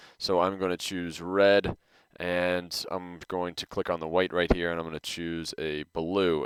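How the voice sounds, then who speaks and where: On a very clean recording with a silent background, a man speaks at a very deep, low pitch in a monotone, flat intonation, with a dry, close sound and no echo. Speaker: design teacher. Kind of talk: tutorial. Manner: fast; casual.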